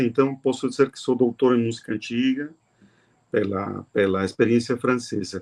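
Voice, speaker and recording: A man's voice with fairly even intonation. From Mexico. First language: Spanish (speaking Portuguese). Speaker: music professor and researcher. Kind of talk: interview conversation.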